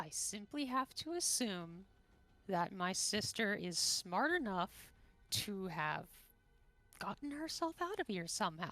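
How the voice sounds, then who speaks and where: Someone performs a put-on character voice at a fairly slow pace, pausing long and often. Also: woman, medium pitch for a woman. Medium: actual play.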